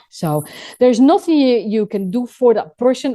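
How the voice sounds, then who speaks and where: Lively intonation carries over a dark, mellow tone. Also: woman. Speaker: first aid trainer. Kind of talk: radio interview explaining first aid. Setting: pre-recorded radio show. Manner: fast.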